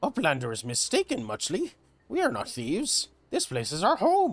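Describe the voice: Here, a put-on character voice carries the lines. It moves at a moderate speed. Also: man, high pitch for a man.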